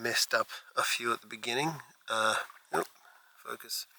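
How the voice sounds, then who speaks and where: A soft-spoken man with an Australian accent, at a fairly slow pace, in a dry, close sound with no echo. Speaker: landscape astrophotographer vlogger. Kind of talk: vlog narration while shooting. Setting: outdoors at night by a lake.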